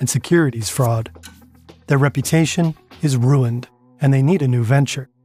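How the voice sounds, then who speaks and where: Speech comes at a fairly quick pace with ordinary pitch variation. Music plays in the background. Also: man. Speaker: documentary narrator. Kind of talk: scripted narration.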